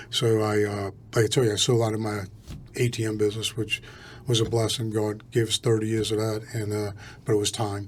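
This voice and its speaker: Somewhat breathy and monotone with flat intonation, a man talks at a fairly quick pace. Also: fairly low pitch for a man. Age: 60s. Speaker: real estate entrepreneur. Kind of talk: podcast interview.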